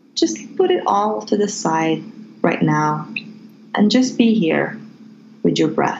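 Over noticeable background noise, a woman speaks very slowly with long, frequent pauses and very even loudness. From Morocco. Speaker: Reiki healer. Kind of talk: guided meditation.

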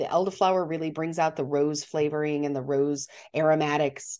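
Against a quiet background, a woman with an American accent speaks at a moderate pace in a very deep, low pitch. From Montana. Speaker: podcast co-host, drink presenter. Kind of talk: casual chat.

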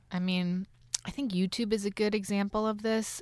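A woman with an American accent, relaxed in tone, at a fairly slow pace, in a very clean recording with a silent background. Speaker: podcast host and radio journalist. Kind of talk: casual chat. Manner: relaxed, loose.

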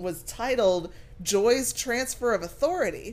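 Lively intonation marks a woman's moderate-paced delivery in an unremarkable speaking voice. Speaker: podcast co-host. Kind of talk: casual chat.

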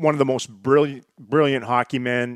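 In a dry, close recording with no echo, a man with a western Canadian accent speaks at a fairly slow pace, his medium-pitched voice monotone and flat. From northern British Columbia, Canada. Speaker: hockey television analyst. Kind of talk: casual chat.

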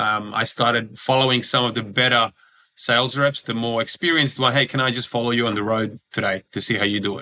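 A man talks at a fairly quick pace in an Australian accent. His tone is bright and sharp, and his intonation stays fairly even. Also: medium pitch for a man. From Australia (Sydney), born in Croatia. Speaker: former pro basketballer, recruitment business owner. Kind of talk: interview.

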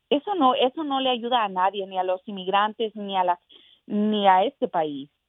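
Lively intonation from a woman at medium pitch, moving at a moderate pace. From Mexico, raised in South Texas. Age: young. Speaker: congressional candidate. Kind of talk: political interview. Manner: hesitant with repetitions.

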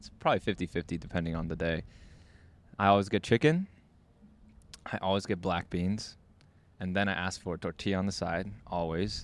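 With long, frequent pauses, a man speaks in a very deep, low voice with ordinary pitch variation. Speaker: podcast host. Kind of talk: casual chat. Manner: uses many filler words like 'like'.

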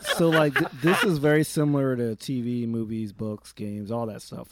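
A man with an ordinary speaking voice talks at a medium pitch with ordinary pitch variation in a dry, close sound with no echo. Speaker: podcast panelist. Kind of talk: casual chat.

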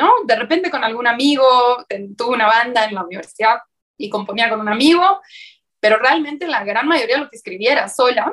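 A woman talks at a fairly quick pace in a high pitch with lively intonation. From Uruguay. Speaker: songwriter and singer. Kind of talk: interview conversation.

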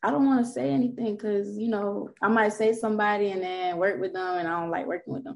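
With a South Florida accent, a woman talks at a fast pace in a slightly mellow voice of medium pitch, with vocal fry and fairly even intonation. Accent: Southern Florida American.

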